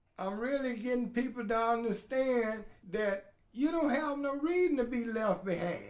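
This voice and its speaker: With an extremely high pitch, a man speaks at a moderate pace with ordinary pitch variation. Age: 70s. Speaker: adult learner. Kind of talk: interview testimony.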